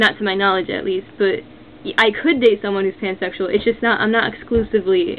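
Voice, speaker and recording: A woman talks at a moderate pace and medium pitch. Noticeable background noise runs behind her. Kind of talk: casual talk to camera. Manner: hesitant, many fillers.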